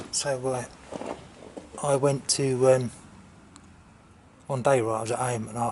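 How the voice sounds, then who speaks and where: With monotone, flat intonation, a man talks in a somewhat breathy voice. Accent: English. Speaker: motorcycle vlogger. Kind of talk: casual chat. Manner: halting.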